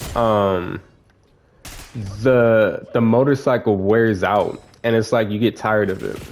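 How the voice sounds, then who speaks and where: A man's medium-pitched voice at a fairly slow pace, with fairly even intonation and long, frequent pauses. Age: 20s. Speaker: gaming YouTuber giving life advice. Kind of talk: casual talk while playing a video game. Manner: casual, filler-heavy and self-correcting.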